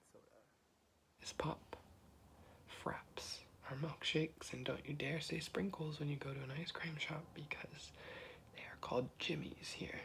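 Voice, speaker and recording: A man whispers in an American accent at a moderate pace, his loudness swinging widely. Long pauses come often. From US Midwest, Ohio. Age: 20s. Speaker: ASMR creator. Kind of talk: ASMR casual chat. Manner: soft-spoken.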